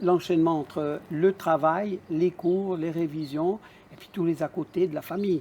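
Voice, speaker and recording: Amid noticeable background noise, a man with a high pitch talks at a fairly slow pace. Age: 60s. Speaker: adult apprentice graduate. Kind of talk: interview testimony.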